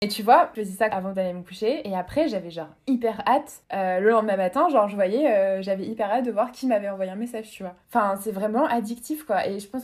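A woman speaks at a very fast pace. Her pitch is fairly high, with ordinary variation. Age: 20s. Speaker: podcast guest sharing dating-app experience. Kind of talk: casual chat.

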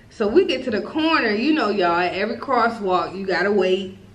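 A woman's medium-pitched voice with lively intonation and audible room echo. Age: 20s. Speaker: podcast co-host. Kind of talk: casual chat, storytime.

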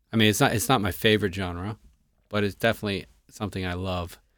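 A man speaks with an American accent in a fairly low voice. His intonation is fairly even on a very clean recording with a silent background. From Florida (Clearwater). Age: 30s. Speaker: podcast host. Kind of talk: casual chat.

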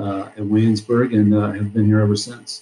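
Somewhat breathy, a man with an American accent speaks in a dark, mellow tone. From Iowa, US Midwest. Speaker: high school football coach. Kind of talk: casual interview.

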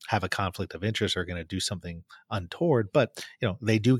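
A man speaks with ordinary pitch variation. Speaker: podcast host. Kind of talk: conversational, explanatory. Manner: fast talker.

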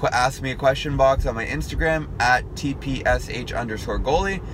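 A man speaks at a medium pitch and a moderate pace. Noticeable background noise runs behind him. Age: 20s. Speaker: podcast host and hockey goalie YouTuber. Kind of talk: casual solo monologue. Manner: conversational with filler words.

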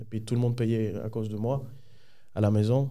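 With a Spanish accent, a man talks in a dark, mellow tone and fairly even intonation, with audible room echo around him. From Dominican Republic. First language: Spanish (speaking French). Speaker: podcast guest. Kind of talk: life story testimony. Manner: halting.

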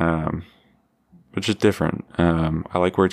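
In an American accent, a man speaks with a very deep, low pitch and flat, monotone intonation. His pace is moderate, and the recording is very clean with a silent background. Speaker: podcast host. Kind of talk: solo podcast monologue. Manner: halting, many fillers.

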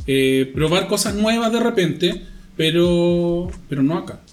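A man's fairly high voice with ordinary pitch variation amid noticeable background noise. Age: 40s. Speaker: podcast guest. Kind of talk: casual chat.

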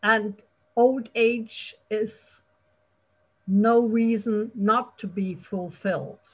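Speaking at a very slow pace with long, frequent pauses, a woman uses a fairly high, somewhat breathy voice with fairly even intonation. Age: 50s. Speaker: podcast host. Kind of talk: casual interview.

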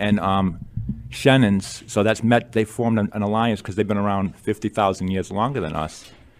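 Here a man talks at a moderate pace in a fairly low voice. He has a plain, everyday voice. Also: ordinary pitch variation. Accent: American. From Massachusetts, Attleboro. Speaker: author. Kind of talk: radio interview.

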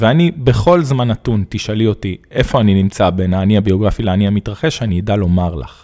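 With an unremarkable speaking voice, a man speaks fairly quickly at a fairly low pitch, using lively intonation and hardly any pauses. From Israel, Arad. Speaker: nonprofit director, former school principal. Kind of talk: intimate interview conversation.

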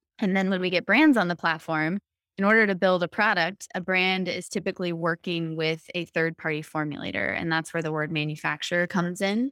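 In a plain, everyday voice, a woman speaks at a fairly quick pace with fairly low pitch and fairly even intonation, on a very clean recording with a silent background and a dry, close sound with no echo. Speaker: startup founder. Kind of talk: interview, business pitch.

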